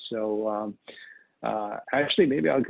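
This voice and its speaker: This is a man speaking. He has a New York accent. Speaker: data protection specialist. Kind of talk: webinar presentation. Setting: online webinar. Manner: fast.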